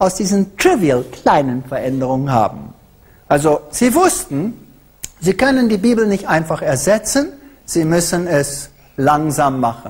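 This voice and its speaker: The man's pitch swings very widely as he speaks at a fairly slow pace. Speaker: lecturer. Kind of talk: lecture. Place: hall. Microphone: handheld.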